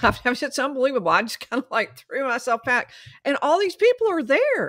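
A woman with lively intonation talks at a moderate pace over a quiet background. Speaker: remote guest, trial commentator. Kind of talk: interview answer. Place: home room. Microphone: studio mic.

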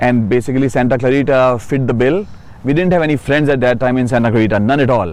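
Over noticeable background noise, a man with an Indian accent talks very fast at a medium pitch, with ordinary pitch variation and very even loudness. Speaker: city council candidate, psychiatrist. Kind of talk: interview. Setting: outdoors.

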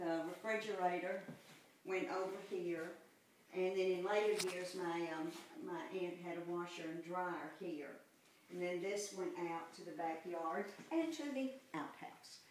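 Through light background noise and audible room echo, a woman with a Southern US accent speaks fairly slowly in a fairly low pitch, her intonation fairly even. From US South. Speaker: mother giving a home tour. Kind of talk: nostalgic reminiscing house tour, recalling childhood memories. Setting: walking indoors through an old house, poor audio. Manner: halting, full of ums and repeated false starts; warm, fond and wistful. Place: home room. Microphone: camera far.

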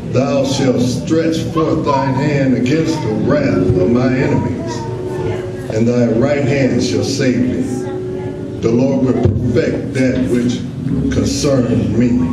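Very slowly, a man talks amid loud background noise and audible room echo. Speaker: scripture reader. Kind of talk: scripture reading. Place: church.

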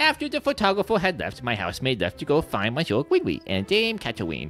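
A put-on character voice in a low-to-middle pitch races along at a very fast pace. Clear music plays in the background.

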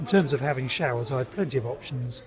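Noticeable background noise runs under a man's speech. He talks at a fairly quick pace with ordinary pitch variation. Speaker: car-dwelling vlogger. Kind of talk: casual vlog chat. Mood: relaxed, wry. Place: bar. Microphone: phone near.

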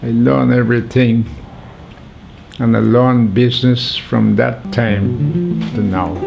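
A man speaks with a Vincentian accent at a fairly slow pace. Clear music plays in the background. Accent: Vincentian Caribbean English. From St. Vincent and the Grenadines. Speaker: documentary subject. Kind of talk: interview answer. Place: home room.

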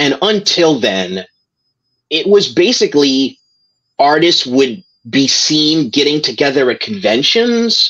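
In an American accent, the speech moves at a very slow pace with very wide pitch swings. The background is quiet. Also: man. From New York. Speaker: comics writer and editor; comics writer. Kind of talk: interview. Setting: video call. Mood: reflective, remembering a late colleague. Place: home room. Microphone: video call.

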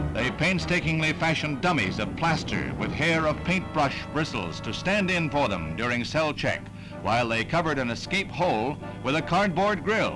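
Clear music behind a man with a fairly high pitch, lively intonation and a moderate pace. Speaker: newsreel announcer. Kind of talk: 1960s newsreel narration. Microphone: old recording.

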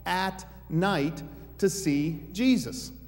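A man's voice, pitched high. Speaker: preacher. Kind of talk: sermon. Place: church.

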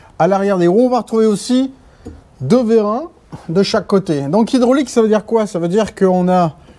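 A man speaks at a moderate pace in a high voice, with ordinary pitch variation. He leaves long, frequent pauses. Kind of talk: tutorial. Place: garage.

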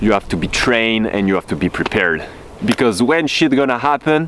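Light background noise is present in a dry recording with no echo. A man speaks with lively intonation. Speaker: off-road vlogger. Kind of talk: casual vlog chat. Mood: upbeat, thankful. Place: open country. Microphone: phone near.

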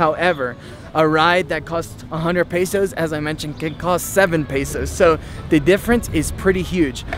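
Faint music plays in the background as a man speaks at a high pitch with ordinary pitch variation, the sound dry with no echo. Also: moderate pace. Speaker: travel vlogger. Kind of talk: casual vlog chat. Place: street. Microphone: phone near.

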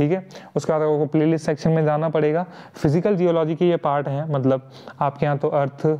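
A man's fairly high voice at a moderate pace, monotone and flat in intonation, with very even loudness. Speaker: online tutor. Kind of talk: tutorial. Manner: casual, frequent fillers.

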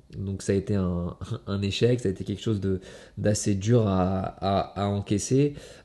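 Here a man speaks at a moderate pace in a fairly low pitch, with long, frequent pauses. His intonation stays fairly even, and his tone is dark and mellow. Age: 30s. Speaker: kickboxing world champion. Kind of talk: motivational monologue to camera. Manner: halting, many fillers and repetitions. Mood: reflective, earnest. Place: home room.

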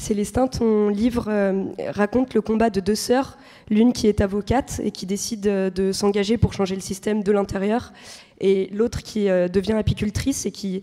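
Her voice has a dark, mellow tone and monotone, flat intonation, recorded against a quiet background. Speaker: panel moderator. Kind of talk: panel discussion. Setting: stage with audience. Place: stage. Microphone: handheld.

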